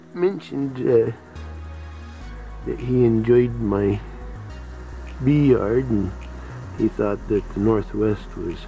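Pausing long and often, a man speaks at a very slow pace in a dry sound with no echo while faint music plays in the background. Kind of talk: casual vlog chat. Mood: relaxed, cheerful. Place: garden. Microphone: phone near.

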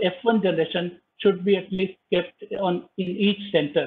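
A man's high-pitched voice against light background noise. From India. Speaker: government wildlife official. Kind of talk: formal presentation. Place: home room. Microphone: video call.

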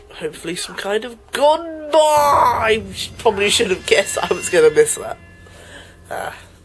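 Long, frequent pauses break up the speech. Background noise is noticeable throughout. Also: moderate pace. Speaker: let's play gamer. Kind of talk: gameplay commentary. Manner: animated.

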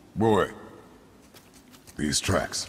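In a put-on character voice, a man speaks at an extremely low pitch and a very slow pace, with a fairly bright tone and lively intonation.

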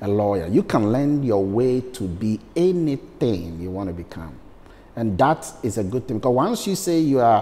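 A man's dark, mellow voice at a moderate pace, with very wide pitch swings. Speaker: interview guest. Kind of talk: interview answer. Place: studio. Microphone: lapel.

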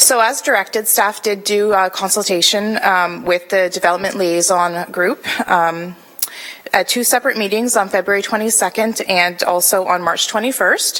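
A woman speaks at a moderate pace with fairly even intonation and medium pitch. Noticeable background noise runs under her voice. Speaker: city planning staff presenter. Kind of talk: formal report presentation. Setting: council committee meeting. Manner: hesitant, many fillers. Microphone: too far from the mic.

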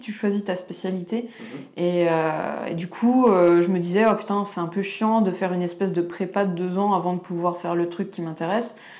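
A woman speaks at a medium pitch with fairly even intonation. She has a plain, everyday voice. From eastern France, Franche-Comté. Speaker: illustrator, comic artist. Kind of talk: casual interview chat.

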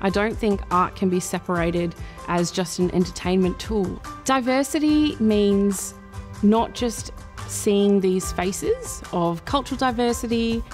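With an Australian accent, a woman speaks at a fairly slow pace in a medium pitch, her pitch varying an ordinary amount. Her loudness stays very even, and faint music plays in the background. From Perth, Western Australia. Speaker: spoken word poet and performer. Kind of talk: interview answer. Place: hall.

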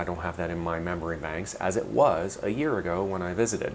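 A man talks at a fairly quick pace. Light background noise sits underneath. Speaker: travel vlogger. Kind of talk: casual vlog chat. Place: home room. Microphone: lapel.

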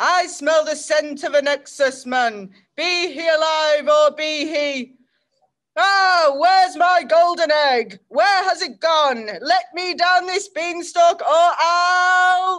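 An extremely high-pitched put-on character voice at a very slow pace. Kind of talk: theatrical character performance. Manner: booming, blustering.

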